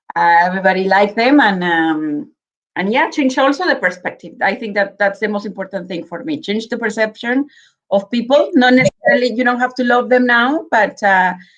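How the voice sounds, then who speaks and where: A woman's fairly high voice with a Mexican accent, lively intonation and a fairly quick pace. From Mexico, Guadalajara, Jalisco. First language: Spanish. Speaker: spirits brand representative. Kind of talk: virtual tasting presentation. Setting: live video stream.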